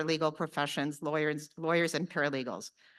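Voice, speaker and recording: A woman against a quiet background. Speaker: lawyer and conference organizer. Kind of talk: conference opening address. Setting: conference hall with audience. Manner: fast.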